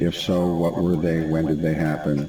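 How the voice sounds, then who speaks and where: A man speaks at a moderate pace in a very deep, low voice. Audible room echo and noticeable background noise surround him. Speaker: trainer for health facility surveyors. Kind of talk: online training presentation.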